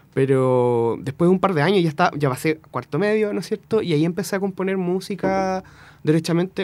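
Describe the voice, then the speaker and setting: Talking at a fairly quick pace, a man speaks with a Chilean accent. His voice is high-pitched. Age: 20s. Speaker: musician. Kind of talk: casual interview. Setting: radio studio.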